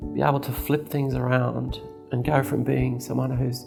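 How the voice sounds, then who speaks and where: With music behind it, the talking proceeds at a moderate speed. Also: woman. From Australia. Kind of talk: interview answer.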